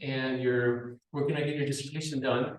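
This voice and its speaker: Male speaker with an American accent. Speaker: university lecturer. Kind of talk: conference presentation. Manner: fast.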